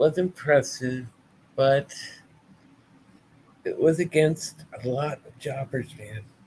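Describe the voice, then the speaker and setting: A man speaks at a very slow pace, sounding somewhat breathy. His pitch varies in an ordinary way. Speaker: wrestling podcast host. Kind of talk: casual live-stream review. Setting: live stream with chat.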